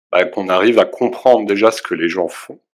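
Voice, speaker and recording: A man speaks at a fairly slow pace. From Alsace, France. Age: 40s. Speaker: videographer and photographer. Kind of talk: interview. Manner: hesitant, many fillers.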